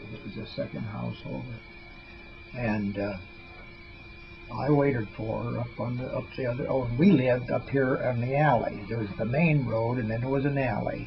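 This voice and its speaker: Music plays in the background as a man speaks at a moderate pace. His medium pitch shows ordinary pitch variation. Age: 80s+. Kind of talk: casual family storytelling. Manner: rambling, hesitant.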